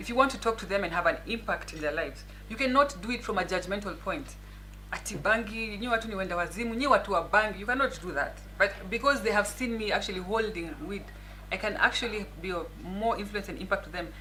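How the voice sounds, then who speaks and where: A woman speaking at a very fast pace over noticeable background noise. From Kenya, Nairobi. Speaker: lawyer and politician. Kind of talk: interview. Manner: soft-spoken.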